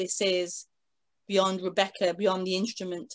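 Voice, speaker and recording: Over a quiet background, a woman talks at a medium pitch. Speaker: spiritual teacher. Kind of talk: interview. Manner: halting.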